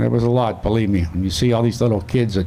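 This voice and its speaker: With audible room echo, a man in a Pittsburgh accent speaks at a medium pitch and a fairly quick pace in a dark, mellow tone. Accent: western Pennsylvania (Pittsburgh) American. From western Pennsylvania, McKeesport area. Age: 70s. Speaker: Vietnam war veteran. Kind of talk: memorial speech.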